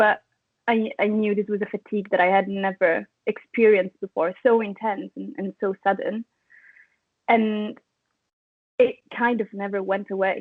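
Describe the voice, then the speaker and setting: Speaking with an Italian accent, a woman keeps a medium pitch and flat, monotone intonation at a moderate pace, broken by long, frequent pauses. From Italy. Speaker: chronic fatigue patient sharing story. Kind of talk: interview.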